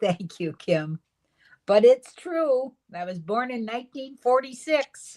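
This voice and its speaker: A woman with a high pitch and a dark, mellow tone speaks at a very slow pace, her pitch swinging very widely and her loudness rising and falling sharply, in a dry, close sound with no echo. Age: 70s. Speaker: livestream co-host, grandmother. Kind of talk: casual chat.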